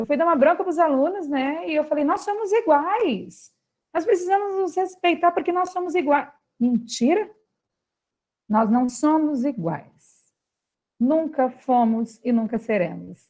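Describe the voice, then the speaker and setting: This woman's high voice takes very wide pitch swings. She sounds animated yet moves at a fairly slow pace. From Brazil, São Paulo state. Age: 30s. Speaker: philosopher and socio-emotional education specialist. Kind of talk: talk to school families.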